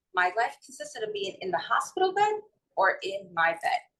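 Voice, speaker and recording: A woman with a strong New York accent, very wide pitch swings and a bright, sharp tone. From New York City / North Jersey. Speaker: holistic wellness and mindset coach. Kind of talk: interview.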